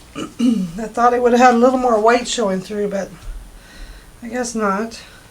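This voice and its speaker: Speaking at a fairly slow pace, a woman has a fairly high pitch. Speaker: acrylic pour artist. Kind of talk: tutorial. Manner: casual and chatty.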